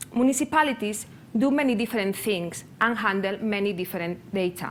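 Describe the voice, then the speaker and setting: Speaking with a Spanish accent, a woman uses lively intonation. Her pitch is medium. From Spain, near Barcelona (Catalonia). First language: Spanish or Catalan. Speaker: public sector open data practitioner, conference speaker. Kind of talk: conference presentation. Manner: halting, non-native phrasing with hesitations.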